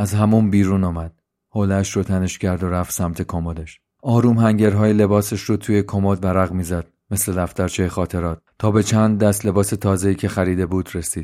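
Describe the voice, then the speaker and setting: At a moderate pace, a man with a fairly low pitch and a dark, mellow tone speaks in a monotone, flat way on a very clean recording with a silent background. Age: 30s. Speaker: podcaster and storyteller. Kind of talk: scripted narration; casual chat.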